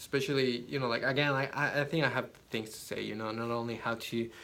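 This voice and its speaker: A man with a non-native accent talks at a fairly quick pace. There is audible room echo. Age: 20s. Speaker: photographer and social media influencer. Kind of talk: unscripted vlog monologue. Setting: inside a yurt. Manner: halting, with repeated words.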